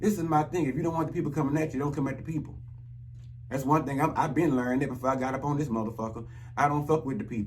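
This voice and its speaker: With audible room echo, a man speaks at a very fast pace and a fairly high pitch, his pitch varying in an ordinary way. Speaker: YouTube commentator. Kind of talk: rant monologue. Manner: animated.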